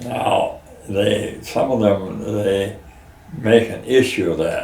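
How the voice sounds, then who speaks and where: A man with an American accent speaks at a very slow pace. Audible room echo and noticeable background noise accompany him. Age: 80s+. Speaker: pumpkin farmer. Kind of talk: casual interview. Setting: outdoors on farm porch. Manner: halting, many fillers.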